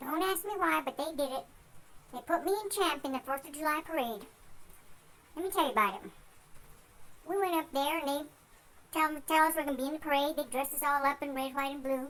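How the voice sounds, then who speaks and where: A put-on character voice is pitched high. It rushes at a very fast pace, broken by long, frequent pauses. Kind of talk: folksy tall tale. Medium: solo performance. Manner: rambling, easygoing.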